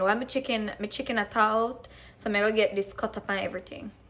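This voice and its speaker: The speaker has a Jamaican accent and ordinary pitch variation. The pace is fairly quick. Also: woman. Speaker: cooking vlogger. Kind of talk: casual cooking tutorial in patois. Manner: casual, chatty.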